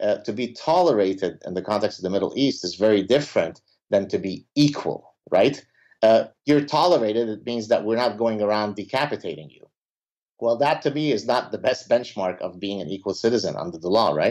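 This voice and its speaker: Lively intonation and big swings in loudness mark a man's medium-pitched speech at a fairly quick pace. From Lebanon. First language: Arabic. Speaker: professor. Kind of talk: interview.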